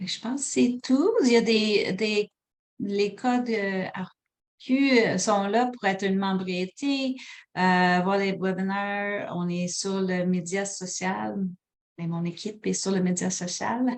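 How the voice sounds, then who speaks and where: A woman's medium-pitched voice with an English accent, a very slow pace and ordinary pitch variation. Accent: anglicized French, from working in English. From Quebec, Sherbrooke. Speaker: hospital program manager, webinar presenter. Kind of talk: webinar presentation and Q&A. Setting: online webinar. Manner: hesitant, many fillers.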